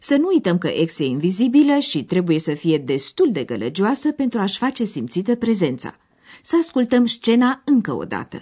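Her voice fairly high with vocal fry, a woman speaks at a moderate pace with very wide pitch swings. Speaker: radio course presenter. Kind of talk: scripted narration explaining a language lesson. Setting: radio studio.

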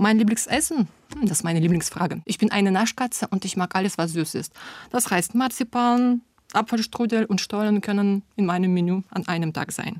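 In a very clean recording with a silent background and a dry, close sound free of echo, a woman with a Russian accent speaks at a moderate pace with ordinary pitch variation. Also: medium pitch for a woman. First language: Russian (speaking German). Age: 30s. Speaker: German teacher. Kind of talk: personal portrait monologue.

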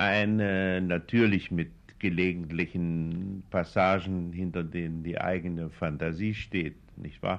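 A man speaks at a very slow pace in a very deep, low voice with flat, monotone intonation. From Thuringia, Nordhausen am Harz. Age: 60s. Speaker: poet and novelist. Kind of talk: interview. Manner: hesitant, with filler sounds.

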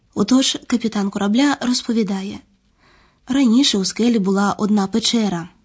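On a quiet background, a somewhat breathy woman with a fairly high pitch talks at a moderate pace, with ordinary pitch variation and very even loudness. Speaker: narrator of language course. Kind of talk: scripted narration.

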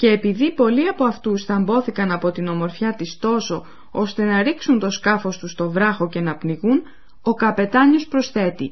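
A somewhat breathy woman's voice with a fairly high pitch. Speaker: language course presenter. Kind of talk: radio language lesson narration. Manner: formal.

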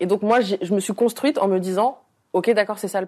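A woman talking at a very fast pace. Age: 20s. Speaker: influencer and author. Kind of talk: interview. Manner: outspoken, frank.

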